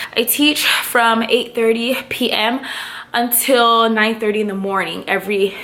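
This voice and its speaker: A fairly high-pitched woman at a fairly slow pace, over noticeable background noise. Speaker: vlogger and online teacher. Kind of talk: casual vlog. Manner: animated.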